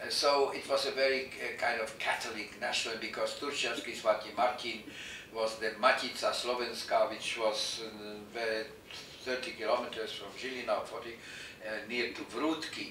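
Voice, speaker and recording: A man's voice with big swings in loudness, audible room echo and noticeable background noise. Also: moderate pace. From Slovakia. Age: 80s+. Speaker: Holocaust survivor. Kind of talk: oral history interview. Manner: halting, many fillers.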